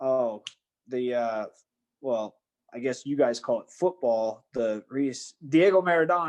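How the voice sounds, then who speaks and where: A man speaks in a plain, everyday voice at a fairly slow pace, his medium pitch moving with ordinary variation while his loudness swings widely. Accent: American. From United States. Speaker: professional MMA fighter. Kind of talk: casual chat.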